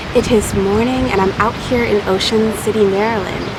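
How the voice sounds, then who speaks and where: A quiet woman's voice, fairly high and fairly even in intonation, with audible room echo and noticeable background noise. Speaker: headwrap brand owner and tutorial creator. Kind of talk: tutorial. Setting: outdoors on the beach. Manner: speaking quietly.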